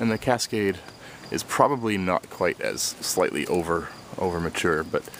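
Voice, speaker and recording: A man speaks with a very deep, low pitch and ordinary pitch variation. Noticeable background noise runs behind him. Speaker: home gardener and homebrewer. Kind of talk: casual how-to video. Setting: outdoors in garden.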